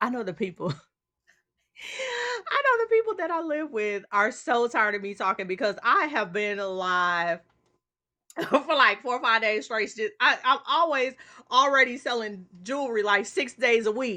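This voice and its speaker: Against a quiet background, a woman shouts loudly at a moderate pace in a fairly high, bright, sharp voice, animated and excited, her lively intonation broken by long, frequent pauses. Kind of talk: casual livestream chat. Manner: animated, excited yelling.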